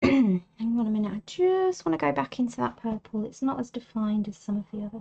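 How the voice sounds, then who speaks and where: Soft-spoken and somewhat breathy, a woman with an English accent talks at a fairly quick pace in a relaxed, dark, mellow tone with very wide pitch swings, the sound dry and close with no echo. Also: fairly high pitch for a woman. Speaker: artist. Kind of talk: tutorial.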